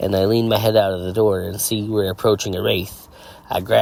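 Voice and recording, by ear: The speaker reads aloud naturally, keeping the intonation fairly even.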